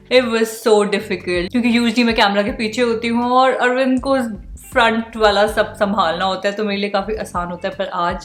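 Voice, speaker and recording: With music in the background, a woman speaks at a moderate pace in a fairly high voice and fairly even intonation. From India (Shimla). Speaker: vlogger. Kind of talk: casual talk to camera.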